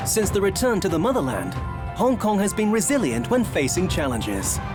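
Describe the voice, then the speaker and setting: With music in the background, a man of high pitch talks at a moderate pace, making very wide pitch swings while his loudness stays very even. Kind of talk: government promotional voice-over.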